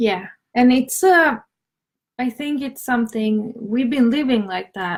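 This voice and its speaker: A woman with a high pitch and a Swedish accent, at a fairly slow pace with ordinary pitch variation and long, frequent pauses. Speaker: conscious business coach. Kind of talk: live stream chat. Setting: live stream on Instagram and Facebook. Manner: hesitant.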